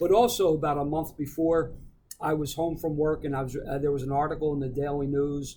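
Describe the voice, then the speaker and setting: Fairly high in pitch, a man speaks at a fairly quick pace with fairly even intonation. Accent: Philadelphia. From Philadelphia. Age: 60s. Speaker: recovering alcoholic, veteran. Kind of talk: casual interview, recovery testimony.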